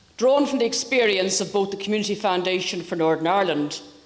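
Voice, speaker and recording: Noticeable background noise sits behind this recording. A woman talks at a medium pitch with ordinary pitch variation. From Northern Ireland. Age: older. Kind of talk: formal lecture.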